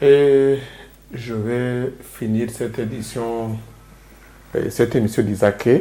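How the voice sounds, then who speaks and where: In a Rwandan accent, a man of medium pitch speaks very slowly in a monotone, flat delivery with long, frequent pauses, and there is noticeable background noise. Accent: Kinyarwanda accent in French. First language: Kinyarwanda (speaking French). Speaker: interview show host. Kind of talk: interview. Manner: hesitant.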